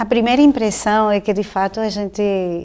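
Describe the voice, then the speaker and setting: With a non-native accent, a woman speaks in a dark, mellow tone with fairly even intonation. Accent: foreign accent in Portuguese. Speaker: professor. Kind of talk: interview.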